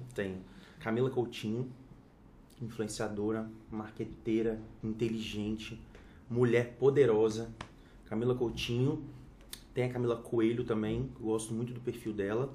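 With audible room echo, a man speaks fairly slowly in a medium-pitched, somewhat breathy voice, his intonation monotone and flat, with long, frequent pauses. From Espírito Santo, Brazil. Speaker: fashion consultant and influencer. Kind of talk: casual chat.

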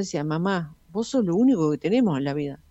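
The woman's pitch swings very widely as she talks. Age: 70s. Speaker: restaurant owner. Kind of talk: interview.

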